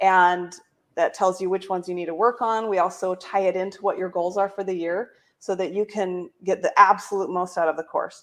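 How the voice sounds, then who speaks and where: A woman speaks at a fairly quick pace. Her intonation is monotone and flat. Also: medium pitch for a woman. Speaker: company founder and coach. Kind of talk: sales pitch. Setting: livestream video. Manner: fast.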